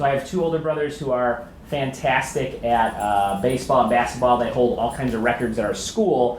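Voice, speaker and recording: At a medium pitch and a fairly quick pace, a man talks with ordinary pitch variation. Noticeable background noise and audible room echo fill the recording. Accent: Chicago. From US Midwest, Chicago. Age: 30s. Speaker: comedian and writer. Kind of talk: talk to an audience.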